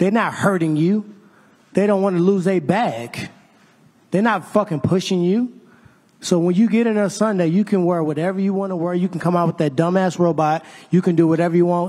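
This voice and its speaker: In a quiet setting, a man with a high pitch and a dark, mellow tone speaks at a fairly quick pace with fairly even intonation. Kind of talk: press conference trash talk. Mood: calm but menacing. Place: hall. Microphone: handheld.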